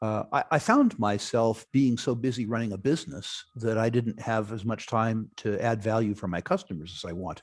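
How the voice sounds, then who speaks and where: A man with a medium pitch and ordinary pitch variation talks at a moderate pace. He barely pauses, and the recording is very clean with a silent background. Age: 60s. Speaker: investor and financial services entrepreneur. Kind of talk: interview. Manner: halting.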